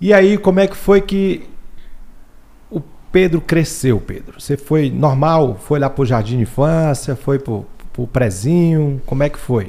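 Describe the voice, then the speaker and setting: Speaking at a fairly slow pace, a man uses lively intonation and a dark, mellow tone, with long, frequent pauses. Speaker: podcast host. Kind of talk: interview. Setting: studio. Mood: friendly, smiling. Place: studio. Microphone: studio mic.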